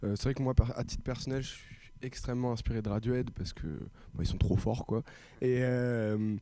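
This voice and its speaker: A man's dark, mellow voice moves along at a fairly quick pace. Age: young. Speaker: rock band musician. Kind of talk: interview.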